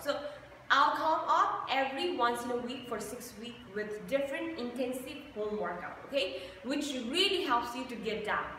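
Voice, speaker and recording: A woman speaks in a raised, projected voice with lively intonation, her words carrying audible room echo over light background noise. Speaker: fitness instructor. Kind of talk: casual vlog chat. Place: gym. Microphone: camera far.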